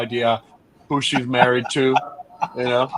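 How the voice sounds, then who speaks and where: Noticeable background noise accompanies a man speaking at a moderate pace and a medium pitch. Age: 60s. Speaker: restaurateur and actor. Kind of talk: casual chat. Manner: halting.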